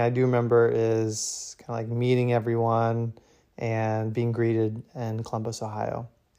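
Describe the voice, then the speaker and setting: A man with an American accent, medium pitch and a dark, mellow tone, in monotone, flat intonation. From US Midwest, Indiana. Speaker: adoptee sharing his story. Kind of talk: interview testimony.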